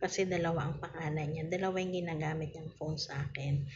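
Amid noticeable background noise, a woman talks at a fairly quick pace with fairly even intonation. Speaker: online seller hosting live raffle. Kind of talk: casual live-stream chat. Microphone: phone near.

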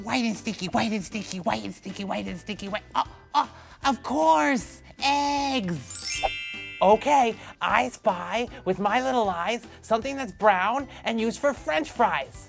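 Over clear music in the background, a female-sounding, cartoonish character voice speaks at a fairly high pitch and a fairly slow pace. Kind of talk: kids show host talk. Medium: puppet. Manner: upbeat, energetic.

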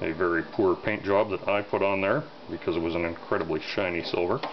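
A man talks at a fairly low pitch and a fairly quick pace. Noticeable background noise is present. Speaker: gun takedown video narrator. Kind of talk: tutorial. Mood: relaxed, offhand. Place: workshop.

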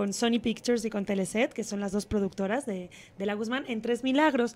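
A woman speaks at a fairly quick pace in a fairly high pitch with ordinary pitch variation. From Spain. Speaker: actress. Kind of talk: TV interview; interview answer. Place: studio. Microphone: handheld.

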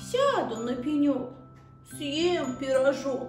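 Doing a put-on character voice, a woman speaks slowly and high with big pitch swings and a slightly mellow tone. Faint music plays in the background.

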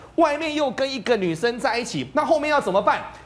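A man at a fairly quick pace. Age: 40s. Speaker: veteran journalist; talk show guest commentator. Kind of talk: TV talk show panel discussion; commentary. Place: studio. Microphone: lapel.

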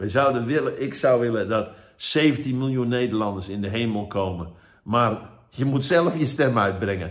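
A man speaks at a moderate pace with lively intonation against a quiet background. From Netherlands. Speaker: evangelist. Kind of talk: sermon. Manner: halting. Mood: earnest, urging. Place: home room. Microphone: phone near.

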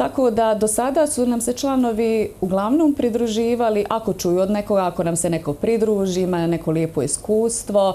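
Speaking with a Bosnian accent, a woman uses a fairly high pitch and lively intonation. Her loudness stays very even at a moderate pace with hardly any pauses. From Bosnia and Herzegovina. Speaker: dance instructor. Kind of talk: TV interview. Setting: studio. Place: studio.

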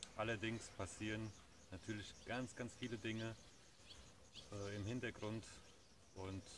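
Over noticeable background noise, a man speaks at a moderate pace with a fairly low pitch and a dry sound with no echo. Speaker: vlogger. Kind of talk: casual vlog chat. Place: garden. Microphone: phone near.

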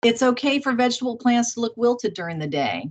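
A woman's voice makes very wide pitch swings. The background is quiet. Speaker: conference host or moderator. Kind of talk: casual moderator chat reading comments. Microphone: video call.

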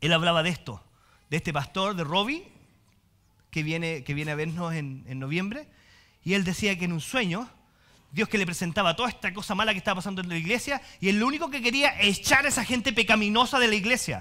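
With a Chilean accent, a man with a high pitch projects a raised voice in a bright, sharp, animated tone, his intonation lively against a quiet background. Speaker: pastor. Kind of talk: sermon, preacher warmly teaching the congregation with jokes, then closing in prayer. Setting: church with congregation. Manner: animated, humorous and conversational, colloquial asides, lively preacher's cadence. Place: church.

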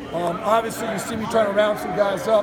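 Loud background noise around a man speaking at a very fast pace. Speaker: college football strength coach. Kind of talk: media interview. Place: gym.

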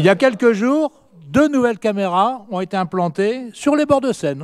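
A man speaks at a moderate pace. His voice is high-pitched. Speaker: opposition city councillor. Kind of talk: council debate speech. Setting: municipal council meeting. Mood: pointed, mildly ironic. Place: hall. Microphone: hard to hear, mic issue; podium.

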